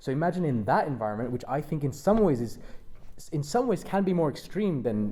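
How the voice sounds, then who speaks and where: Very fast and at a fairly high pitch, a man speaks in a dark, mellow tone amid audible room echo. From London. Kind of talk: panel discussion. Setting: stage with audience at a university. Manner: halting.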